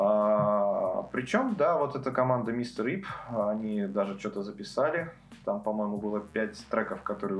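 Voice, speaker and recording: A man speaks at a fairly low pitch. Audible room echo and noticeable background noise fill the recording. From Russia, Karelia (Petrozavodsk). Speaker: music expert. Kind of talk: casual chat.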